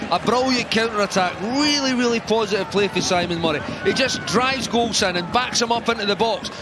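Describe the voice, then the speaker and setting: Animated, fairly quick delivery from a man with ordinary pitch variation, amid noticeable background noise. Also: very even loudness. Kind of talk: football co-commentary, analysing replays. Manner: animated, analytical, fluent with some stumbles and repeated words.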